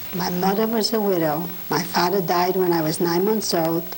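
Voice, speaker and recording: Noticeable background noise beneath fairly slow talking. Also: woman. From Poland. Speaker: Holocaust survivor. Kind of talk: oral history interview.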